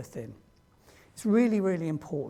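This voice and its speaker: With a British accent, a man talks in a high voice of dark, mellow tone that makes very wide pitch swings. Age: 60s. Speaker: diversity trainer. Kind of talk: training presentation.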